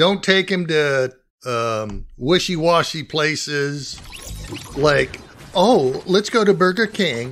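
Over light background noise, a man with a fairly high voice speaks very slowly with lively intonation. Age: 70s. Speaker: retired war veteran. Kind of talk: casual advice to camera. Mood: warm, fatherly. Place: home room.

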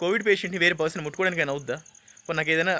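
A man is speaking. His voice has a high pitch. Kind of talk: testimony / complaint to camera. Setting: outdoors at a rural health centre.

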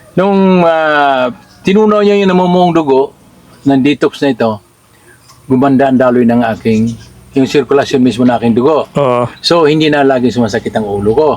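Over noticeable background noise, a man talks at a moderate pace with a fairly high pitch, lively intonation and very even loudness. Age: 60s. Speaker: former overseas worker giving product testimonial. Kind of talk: testimony. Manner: halting.

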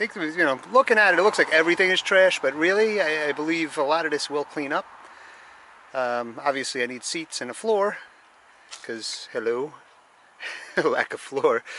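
A man talks at a moderate pace with lively intonation, big swings in loudness, and long, frequent pauses. The sound is dry with no echo, over light background noise. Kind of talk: casual vlog chat. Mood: wry, lightly amused. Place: street. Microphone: phone near.

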